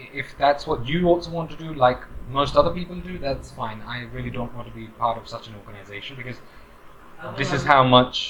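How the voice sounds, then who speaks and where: The speaker moves at a fairly quick pace with big swings in loudness over noticeable background noise. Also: man, fairly high pitch for a man, ordinary pitch variation. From UK. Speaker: corporate trainer. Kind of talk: advice monologue. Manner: casual, hesitant with fillers.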